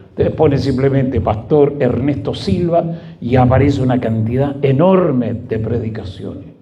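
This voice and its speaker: A fairly high-pitched man with lively intonation, at a fairly slow pace, in audible room echo. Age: 70s. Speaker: pastor. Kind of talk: sermon.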